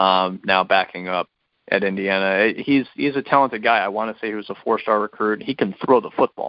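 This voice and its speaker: A plain, everyday voice belongs to a man speaking at a fairly low pitch. He moves at a fairly quick pace with ordinary pitch variation. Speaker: podcast co-host, sports commentator. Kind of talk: casual sports podcast chat.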